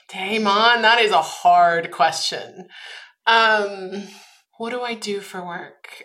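A bright, sharp tone at a very slow pace, fairly even in intonation, with big swings in loudness and audible room echo. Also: woman, medium pitch for a woman. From Austria. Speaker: head of people operations. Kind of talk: interview.

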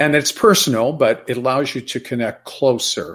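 A man's voice, a plain, everyday voice, at a moderate pace with ordinary pitch variation. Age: 60s. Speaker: former financial investor, health advocate. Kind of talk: interview testimony.

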